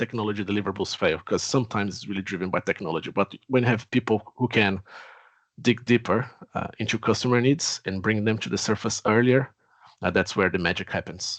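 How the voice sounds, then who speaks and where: A man with a Brazilian accent speaks at a fairly quick pace. His pitch is fairly low with ordinary variation, and the background is quiet. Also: dry, close sound with no echo. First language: Portuguese. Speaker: technology executive. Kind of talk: webinar self-introduction.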